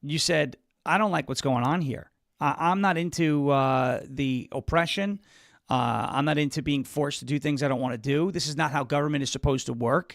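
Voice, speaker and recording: A man with an American accent and a plain, everyday voice speaks at a fairly high pitch and a fairly quick pace. His pitch variation is ordinary, and the recording is very clean with a silent background. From US Northeast (Long Island, New York). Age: 30s. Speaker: political talk show host. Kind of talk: live interview.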